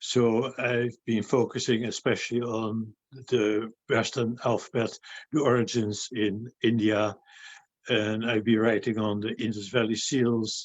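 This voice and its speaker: A man speaks fairly slowly at a medium pitch. His intonation is flat and monotone. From Netherlands (Delft). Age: 70s. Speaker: retired researcher. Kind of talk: interview. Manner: hesitant with frequent fillers.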